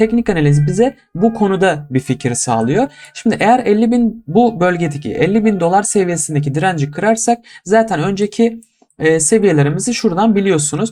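A man with a high pitch talks at a moderate pace. His intonation is lively and his loudness very even. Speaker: crypto YouTuber. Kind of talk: market analysis tutorial. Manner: casual, many filler hesitations.

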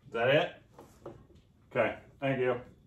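A man talks at a fairly slow pace, his pitch varying in an ordinary way. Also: medium pitch for a man.

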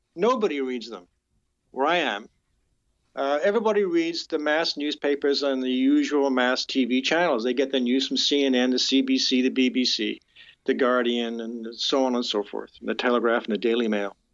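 A man speaks in a normal speaking voice with a Canadian accent, at a moderate pace. His pitch is medium, with ordinary pitch variation. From Canada (born in UK). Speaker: criminal defense lawyer. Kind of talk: interview. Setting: phone call.

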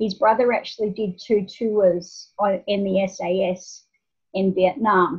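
A woman's somewhat breathy voice with fairly even intonation against a quiet background. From Australia. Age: 50s. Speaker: nonprofit founder. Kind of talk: interview. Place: home room. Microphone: video call.

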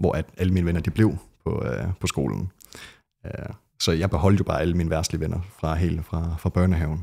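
A man's very deep, low voice with a dark, mellow tone and vocal fry, over a quiet background. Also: ordinary pitch variation, fairly quick pace. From Denmark, Skive; Denmark. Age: young. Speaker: ex-Jehovah's Witness, never baptized; Witness. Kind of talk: podcast interview. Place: home room. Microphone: studio mic.

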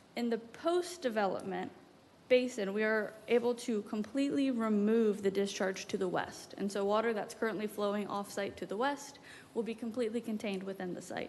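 A woman with a fairly high pitch speaks at a fairly quick pace, her pitch varying an ordinary amount. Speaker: applicant's representative presenting a development plan. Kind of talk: presentation at a public meeting. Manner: fast.

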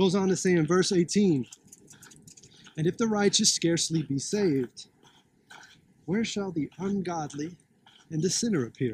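Against light background noise, a man talks at a moderate pace in a high voice with ordinary pitch variation and long, frequent pauses, the sound dry with no echo. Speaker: street preacher. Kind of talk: street sermon, preaching. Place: open country. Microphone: phone near.

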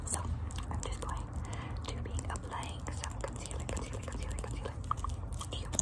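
A woman talks at a fairly quick pace. Her speech has long, frequent pauses. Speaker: ASMR creator. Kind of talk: ASMR role play. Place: home room. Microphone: phone near.

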